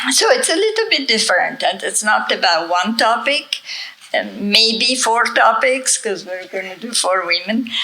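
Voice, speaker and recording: Amid noticeable background noise and audible room echo, a woman speaks at a fairly slow pace in a fairly high pitch with lively intonation. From Italy. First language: Italian. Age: 70s. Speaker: author and conference speaker. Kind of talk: conference talk.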